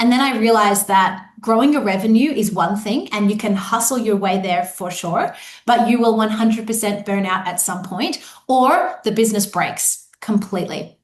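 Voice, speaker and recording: Speaking at a moderate pace with an Australian accent, a woman has a fairly high pitch and ordinary pitch variation. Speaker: business coach. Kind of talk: live online workshop. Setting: live video webinar.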